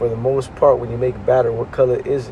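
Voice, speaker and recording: A man's speech comes with noticeable background noise underneath. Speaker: religious teacher. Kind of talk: religious lesson. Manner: casual, conversational.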